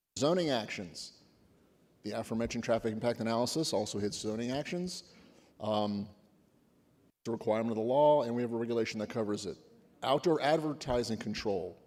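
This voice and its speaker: Speaking at a very fast pace broken by long, frequent pauses, a man uses a medium pitch with ordinary pitch variation. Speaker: government agency presenter. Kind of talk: conference presentation.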